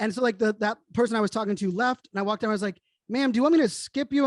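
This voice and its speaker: A man speaks in an energetic tone with ordinary pitch variation. The sound is dry and close with no echo, and the background is quiet. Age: 40s. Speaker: keynote speaker and digital futurist. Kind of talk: interview conversation. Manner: fast.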